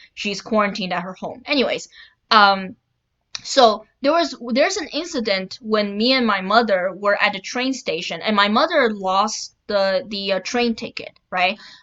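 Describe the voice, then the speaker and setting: Loud and lively in intonation, a woman speaks with a fairly high pitch. Her pace is moderate. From China. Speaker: political commentary YouTuber. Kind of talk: casual vlog commentary. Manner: halting with many fillers.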